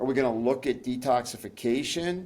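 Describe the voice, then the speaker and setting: Medium in pitch with ordinary pitch variation, a man talks at a moderate pace in a plain, everyday voice. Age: 60s. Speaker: pharmacist and nutritionist. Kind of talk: interview.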